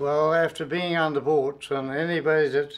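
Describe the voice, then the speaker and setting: The speaker talks with a Newfoundland accent and fairly even intonation. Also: man. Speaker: retired railway worker. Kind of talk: interview testimony. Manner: halting.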